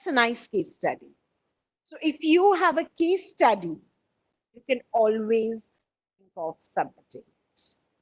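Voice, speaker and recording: Recorded dry and close with no echo, a woman speaks fairly slowly at a high pitch, with very wide pitch swings, big swings in loudness and long, frequent pauses. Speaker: publishing trainer presenting a webinar. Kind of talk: webinar presentation. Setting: online webinar. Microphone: audio breaking up on connection.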